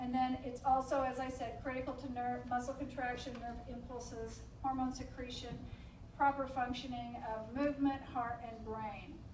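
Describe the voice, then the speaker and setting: Over noticeable background noise and audible room echo, a woman speaks at a moderate pace in a high pitch with monotone, flat intonation. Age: 60s. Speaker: nurse coordinator. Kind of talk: support group talk. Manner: halting, many fillers.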